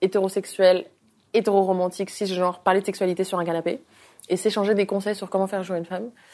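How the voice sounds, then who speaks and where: A woman speaks at a fairly quick pace and medium pitch. Her tone is dark and mellow, her intonation monotone and flat. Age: 20s. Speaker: influencer and author. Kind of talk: interview. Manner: outspoken, frank.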